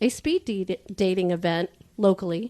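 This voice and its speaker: Over a quiet background, a woman with an unremarkable speaking voice talks at a fairly slow pace, her medium pitch showing ordinary variation. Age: 60s. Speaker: podcast guest, speed dating participant. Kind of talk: casual chat.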